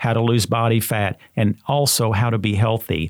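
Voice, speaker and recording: A man with a plain, everyday voice talks at a moderate pace and a medium pitch. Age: 60s. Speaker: health podcast host. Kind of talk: casual interview. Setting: studio.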